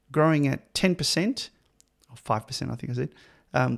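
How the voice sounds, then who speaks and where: A man talks fairly quickly with an Australian accent. The recording is very clean, with a silent background. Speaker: podcast host. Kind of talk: interview conversation.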